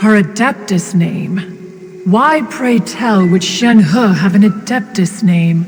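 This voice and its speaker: In a put-on character voice, a female-sounding speaker at medium pitch goes at a fairly slow pace over clear background noise. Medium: machinima. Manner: archaic, formal, refers to self as one.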